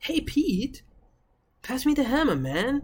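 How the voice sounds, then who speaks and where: A woman's put-on character voice, high-pitched and at a fairly slow pace. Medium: read story. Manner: casual, friendly.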